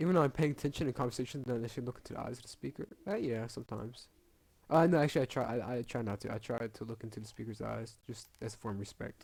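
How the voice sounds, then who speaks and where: A man mumbles at a very fast pace. His pitch variation is ordinary. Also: medium pitch for a man. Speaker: gaming youtuber. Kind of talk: casual commentary while taking an online quiz. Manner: mumbling; halting, stammering repeats.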